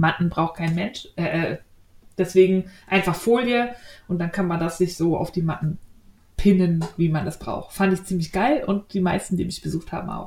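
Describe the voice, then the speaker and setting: This woman talks at a moderate pace with fairly low pitch. Her voice is somewhat breathy, with ordinary pitch variation. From Berlin. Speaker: podcast host, knitting and sewing blogger. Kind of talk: casual chat.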